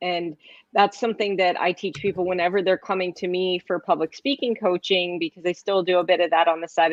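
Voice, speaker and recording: This woman talks at a fairly quick pace and a medium pitch. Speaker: talk show host and public speaking coach. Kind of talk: casual chat. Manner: fast; animated.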